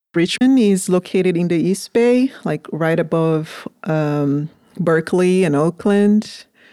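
A woman with a Portuguese accent at a fairly slow pace, fairly low in pitch with ordinary pitch variation, her tone dark and mellow and her loudness very even, in a dry, close sound with no echo on a very clean recording with a silent background. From Brazil. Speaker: farm manager. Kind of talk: interview.

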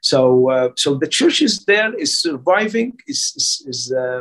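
His pitch swings very widely as the man speaks at a fairly slow pace. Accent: Arabic. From Egypt. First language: Arabic. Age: 60s. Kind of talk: interview. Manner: halting.

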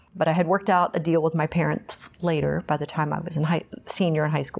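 With an American accent, a woman speaks fairly quickly in a very deep, low voice with vocal fry and fairly even intonation. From Texas, Houston. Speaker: recovering alcoholic, Pilates instructor. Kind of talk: testimony interview. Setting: meeting hall after a meeting.

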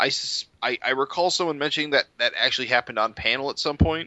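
This man has a normal speaking voice with an American accent. His pitch is fairly high, with ordinary variation. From upstate New York. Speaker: podcast host. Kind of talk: casual chat.

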